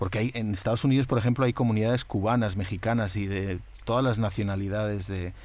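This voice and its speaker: In an unremarkable speaking voice, a man talks fairly quickly with a fairly low pitch and fairly even intonation. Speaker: podcast host. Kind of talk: interview questions.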